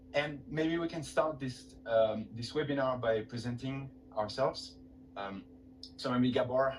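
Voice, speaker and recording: A man speaks with a French accent at a medium pitch, his pitch varying in an ordinary way. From France. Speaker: webinar host. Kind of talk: webinar presentation.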